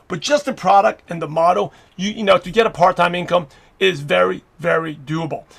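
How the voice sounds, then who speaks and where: A man talks with a New York accent at a high pitch. His intonation is lively and his pace fairly quick. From New York (Brooklyn). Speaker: network marketing coach. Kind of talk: webinar training talk. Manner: fast.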